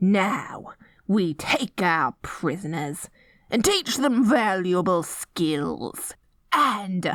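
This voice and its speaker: A put-on character voice, female-sounding and medium in pitch, at a very slow pace, on a very clean recording with a silent background. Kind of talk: audio roleplay. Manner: silly, playful.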